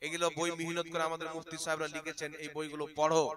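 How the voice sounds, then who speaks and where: Over noticeable background noise, a man talks in a fairly high pitch. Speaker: Islamic preacher. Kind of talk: sermon.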